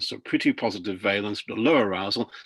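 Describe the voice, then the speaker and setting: Here a man with a British accent talks at a moderate pace and medium pitch, with ordinary pitch variation. The background is quiet. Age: 70s. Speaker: professor presenting research. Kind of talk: webinar presentation. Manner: halting, many fillers.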